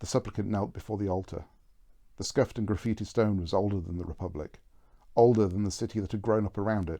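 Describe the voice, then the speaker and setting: Very fast, mumbled speech in a dark, mellow tone with ordinary pitch variation over a quiet background. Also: man, fairly low pitch for a man. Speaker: author. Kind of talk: reading aloud. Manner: mumbling.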